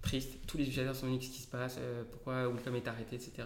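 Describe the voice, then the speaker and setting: A man speaks in a dark, mellow tone. Room echo can be heard. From Paris region, France. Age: 30s. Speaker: software developer and company founder. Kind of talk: interview. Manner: animated.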